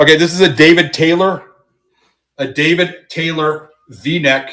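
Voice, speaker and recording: A man with an American accent and a bright, sharp tone talks at a fairly slow pace and fairly high pitch, his intonation fairly even. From Kansas City, US Midwest. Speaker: live-stream reseller. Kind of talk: live sales stream.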